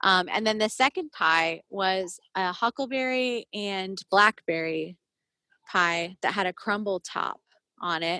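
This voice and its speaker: A woman's bright, sharp, medium-pitched voice with an American accent, delivered at a very slow pace. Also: ordinary pitch variation, dry, close sound with no echo. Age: 40s. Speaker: pie shop owner and baker. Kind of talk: interview. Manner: hesitant, many fillers.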